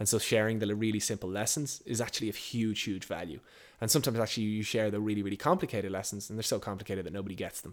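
A man with an Irish accent talks very fast at a fairly low pitch with ordinary pitch variation. The recording is very clean with a silent background. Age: 30s. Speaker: entrepreneur. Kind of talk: interview.

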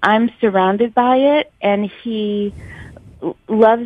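This woman has fairly even intonation and a plain, everyday voice. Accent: American. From New York City. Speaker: caller, outdoor media worker. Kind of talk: casual chat. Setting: phone call.

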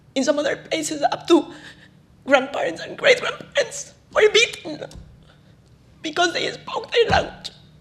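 Her pitch swings very widely. The woman is heard against noticeable background noise. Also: long, frequent pauses. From Ecuador, highlands. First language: Spanish. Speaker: conservationist. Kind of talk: lecture. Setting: stage with audience.

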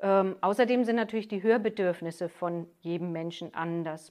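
A woman with an unremarkable speaking voice, medium in pitch, at a moderate pace with fairly even intonation. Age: 50s. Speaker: master hearing aid acoustician, business owner. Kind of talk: interview. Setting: her shop.

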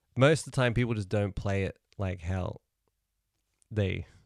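A man with a New Zealand accent speaks at a moderate pace, fairly low in pitch with ordinary variation. The sound is dry and close, with no echo. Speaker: musician. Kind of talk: casual chat. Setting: video call.

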